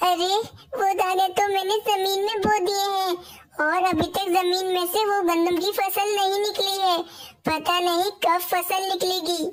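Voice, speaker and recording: Cartoonish character voice, extremely high-pitched and anxious in tone, at a moderate pace. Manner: anxious, exclamatory.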